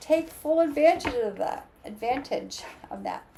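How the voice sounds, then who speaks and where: Over noticeable background noise, a woman speaks fairly slowly with lively intonation. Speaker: astrologer and tarot reader. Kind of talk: tarot reading. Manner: animated.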